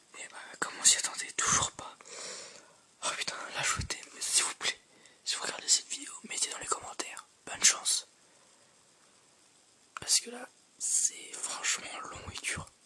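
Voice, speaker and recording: With long, frequent pauses, whispering proceeds at a fairly slow pace against noticeable background noise. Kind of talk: casual gaming commentary. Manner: whispered.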